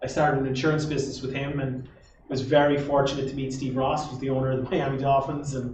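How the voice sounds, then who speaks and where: Amid noticeable background noise and audible room echo, a man with a fairly high pitch speaks in a monotone, flat way. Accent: Irish Midlands. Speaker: entrepreneur. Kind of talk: interview on stage.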